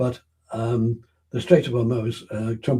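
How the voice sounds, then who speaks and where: A man speaks at a moderate pace and medium pitch. His tone is dark, mellow and somewhat breathy. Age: 80s+. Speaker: interviewee on science and energy policy. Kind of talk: interview.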